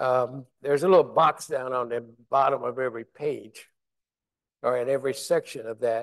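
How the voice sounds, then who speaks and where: A man with a medium pitch and an American accent, an unremarkable speaking voice, fairly even intonation and a moderate pace against a quiet background. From West Virginia. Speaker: former Army officer and city official; panelist. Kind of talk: panel discussion. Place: hall.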